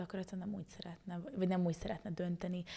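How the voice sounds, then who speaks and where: A woman with a fairly low pitch sounds somewhat breathy, her tone dark and mellow. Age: 20s. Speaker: spiritual energy teacher; podcast guest. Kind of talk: casual chat. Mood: warm, smiling. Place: studio. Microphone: studio mic.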